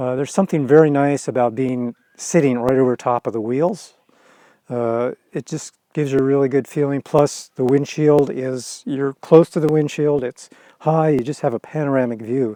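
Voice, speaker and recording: Fairly high-pitched male voice with a dark, mellow tone and fairly even intonation, in a dry, close sound with no echo. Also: moderate pace, quiet background. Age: 60s. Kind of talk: casual interview. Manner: hesitant, many fillers.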